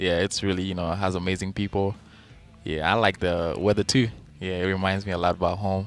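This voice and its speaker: Music plays in the background as a man talks at a fairly quick pace. His pitch is very deep and low, with monotone, flat intonation. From South Sudan. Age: 20s. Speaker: college basketball player. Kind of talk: radio interview. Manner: hesitant, many fillers.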